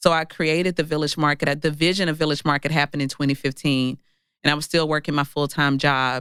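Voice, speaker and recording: In a very clean recording with a silent background, someone with a Mississippi accent talks at a fairly quick pace. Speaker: entrepreneur and author. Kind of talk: interview.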